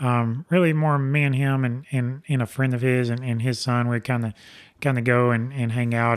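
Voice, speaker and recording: A man in a Southern US accent speaks at medium pitch and a moderate pace. His intonation is fairly even, and the recording is very clean with a silent background. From Alabama. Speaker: race car driver. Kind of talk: casual interview. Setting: studio.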